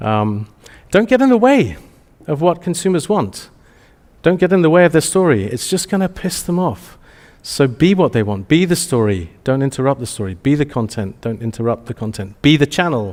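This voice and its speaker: A man with an Essex accent, very wide pitch swings and a moderate pace, on a very clean recording with a silent background. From England, Essex. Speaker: marketing agency executive, conference speaker. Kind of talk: conference presentation. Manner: many fillers and restarts.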